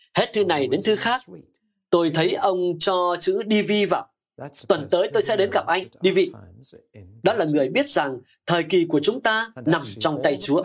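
Fairly slow speech broken by long, frequent pauses. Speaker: voice-over narrator of translated sermons. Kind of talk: sermon. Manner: interactive with audience.

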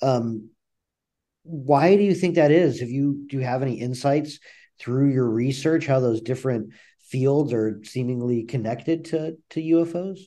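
His tone is dark and mellow. The man's voice sits at a medium pitch. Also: ordinary pitch variation, moderate pace. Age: 40s. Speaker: podcast host. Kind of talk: interview.

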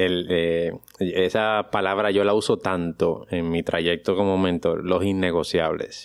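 A man's very deep, low voice, very slow in pace, with fairly even intonation. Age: 40s. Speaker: podcast host, pediatrician and productivity mentor. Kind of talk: interview.

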